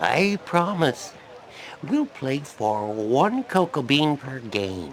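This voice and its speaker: A man's put-on character voice, fairly high in pitch, with very wide pitch swings, a very slow pace and clear background noise. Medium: video game. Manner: wheedling, jovial.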